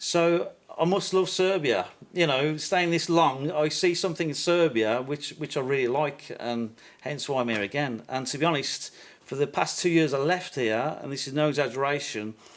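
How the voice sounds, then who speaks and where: With a Birmingham accent, this man speaks at a fairly high pitch. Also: ordinary pitch variation, moderate pace. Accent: Birmingham (Brummie). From England, Birmingham. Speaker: YouTuber visiting football fans. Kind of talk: podcast interview.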